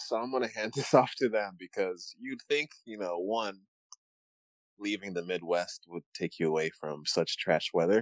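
A man with an unremarkable speaking voice and an American accent talks at a moderate pace with a fairly low pitch and ordinary pitch variation. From Uganda, raised partly in Michigan. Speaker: podcast co-host. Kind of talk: casual chat.

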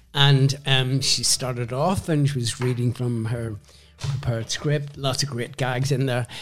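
Somewhat breathy, a man speaks at medium pitch with fairly even intonation. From Northern Ireland (Belfast). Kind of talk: casual interview, storytelling.

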